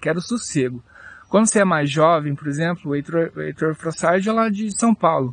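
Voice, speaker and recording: With a dry, close sound and no echo, a man talks at a fairly high pitch with lively intonation and long, frequent pauses. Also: moderate pace. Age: 30s. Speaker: podcaster and YouTuber. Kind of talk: casual monologue. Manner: halting.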